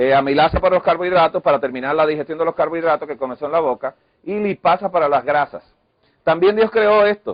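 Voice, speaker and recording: Talking very fast, a man with a fairly high voice lets his pitch move in an ordinary way. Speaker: health lecturer. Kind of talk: lecture.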